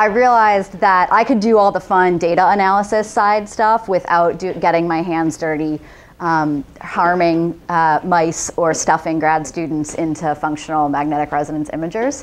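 A woman with an ordinary speaking voice talks at a moderate pace with hardly any pauses, her fairly low pitch showing ordinary variation. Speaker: conference presenter. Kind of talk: lecture. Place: hall. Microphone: podium.

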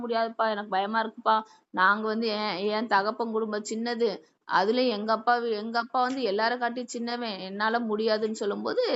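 A woman's fairly high-pitched voice. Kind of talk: sermon. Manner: fast, talks without stopping.

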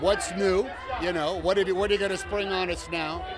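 A man's voice, dry sound with no echo, plus noticeable background noise. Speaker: actor at premiere. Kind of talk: interview answer. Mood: warm, reflective. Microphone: handheld.

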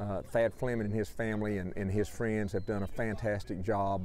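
In a dry sound with no echo and light background noise, a man with a normal speaking voice and fairly low pitch talks at a moderate pace. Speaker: border collie trainer. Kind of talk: interview. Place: farm machine.

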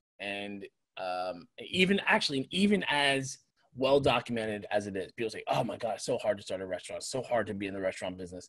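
The sound is dry with no echo. A man talks at a very fast pace with big swings in loudness. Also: quiet background. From New York area. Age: 40s. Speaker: restaurant owner and chef. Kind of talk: casual chat. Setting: video call. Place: home room. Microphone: video call.

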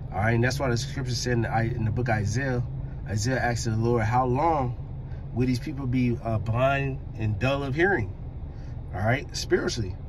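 A man speaks at a medium speed, his pitch varying in an ordinary way, with noticeable noise in the background. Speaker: driver preaching. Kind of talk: religious commentary. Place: car. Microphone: phone near.

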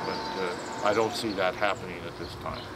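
A man speaks over loud background noise. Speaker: city council member. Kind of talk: interview. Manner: halting. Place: garden.

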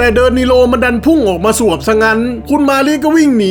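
Music plays in the background under a voice with ordinary pitch variation. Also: man. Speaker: manga narrator, amateur dubber. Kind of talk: comedic manga recap narration.

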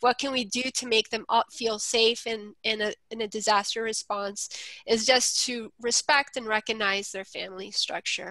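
A woman's fairly high, bright and sharp voice at a moderate pace, with fairly even intonation, dry sound with no echo, and a quiet background. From Colombia. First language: Spanish. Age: 40s. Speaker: nonprofit policy manager. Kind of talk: webinar presentation. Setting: video call. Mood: earnest, warm.

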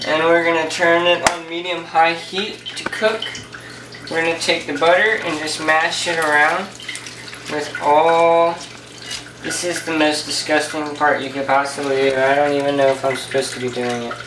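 Noticeable background noise sits behind speech delivered at a moderate pace. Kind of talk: casual cooking tutorial chat. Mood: jokey, self-deprecating. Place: kitchen. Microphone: phone near.

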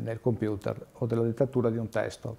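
The man's tone is dark and mellow at a medium pitch. He keeps a moderate pace with fairly even intonation. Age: 40s. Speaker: wheelchair user explaining assistive tech. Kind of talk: informal explanation. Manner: halting, many fillers. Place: home room.

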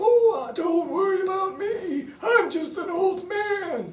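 An extremely high-pitched, put-on character voice goes at a fairly slow pace. Background noise is clearly audible. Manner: feigned harmlessness.

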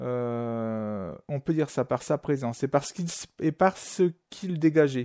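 A man speaks in a dark, mellow tone with ordinary pitch variation, recorded dry and close with no echo on a very clean track with a silent background. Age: 40s. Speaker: amateur musician sharing a paranormal story. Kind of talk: testimony.

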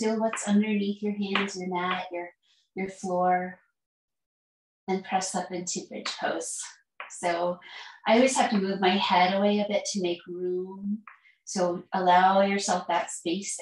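A woman's somewhat breathy voice at a fairly slow pace, with long, frequent pauses, fairly even intonation and audible room echo. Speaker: yoga teacher. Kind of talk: guided yoga instruction. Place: home room.

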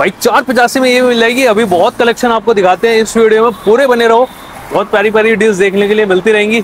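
Fast, fairly even speech from a man with a high pitch, faint background noise behind him

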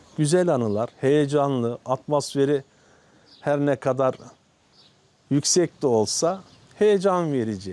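A man's dark, mellow tone, fairly high in pitch with lively intonation, at a very slow pace with long, frequent pauses. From Turkey, Karasu, Sakarya. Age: 50s. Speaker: village headman. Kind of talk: interview. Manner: halting.

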